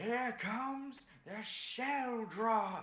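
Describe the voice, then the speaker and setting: This is a put-on character voice. The pitch is fairly high. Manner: bombastic, announcer-like, exaggerated.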